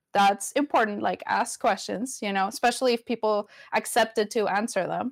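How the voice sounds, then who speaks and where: A woman with a Spanish accent and fairly high pitch is heard in a very clean recording with a silent background and a dry, close sound with no echo. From Venezuela. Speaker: community advocate and film producer. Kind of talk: casual interview. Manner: casual, hesitant, fillers.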